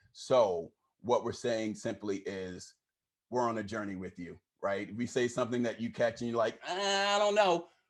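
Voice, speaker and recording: On a very clean recording with a silent background, a man talks at a moderate pace. His pitch swings very widely. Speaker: diversity trainer, workshop facilitator. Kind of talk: training workshop talk.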